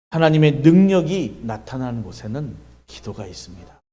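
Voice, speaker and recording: Amid audible room echo, a man with a dark, mellow tone and fairly high pitch speaks at a very slow pace with lively intonation. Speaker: pastor. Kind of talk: sermon. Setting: church revival meeting.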